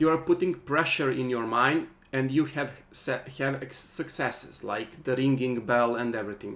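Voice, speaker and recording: This man speaks with a non-native accent at a medium pitch. His pitch variation is ordinary, and there is audible room echo. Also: moderate pace, hardly any pauses. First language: not English. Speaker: workshop teacher. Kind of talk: online workshop lecture. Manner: halting.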